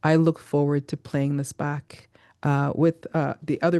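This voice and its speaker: A woman's very deep, low voice with a dark, mellow tone at a moderate pace, against a quiet background. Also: dry, close sound with no echo. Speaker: podcast host interviewing a streamer. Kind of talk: casual conversational interview. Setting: live stream. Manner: slightly slurred.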